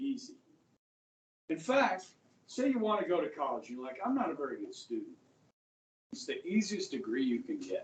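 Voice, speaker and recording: A man with an American accent speaks at a moderate pace, with long, frequent pauses. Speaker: high school history teacher. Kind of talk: classroom lecture. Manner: casual, conversational.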